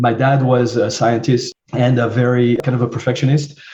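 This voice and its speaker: A man with a French accent speaks at a moderate pace and medium pitch against noticeable background noise. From southern France. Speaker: marketing agency CEO. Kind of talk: interview. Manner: hesitant, many fillers.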